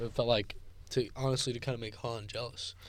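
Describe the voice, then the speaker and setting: This is a man speaking with a Californian accent. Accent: Californian American English. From Gilroy, California. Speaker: podcast co-host, college student athlete. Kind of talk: casual chat.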